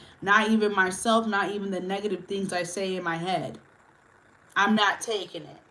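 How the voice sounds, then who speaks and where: A woman's medium-pitched voice at a moderate pace, with fairly even intonation, big swings in loudness and audible room echo. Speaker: livestreamer. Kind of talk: casual chat. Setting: livestream.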